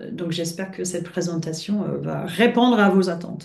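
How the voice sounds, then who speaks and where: A somewhat breathy woman's voice in a British accent with fairly even intonation. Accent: British-tinged French. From France and Britain. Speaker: coach. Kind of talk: webinar presentation. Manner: hesitant, many filler sounds.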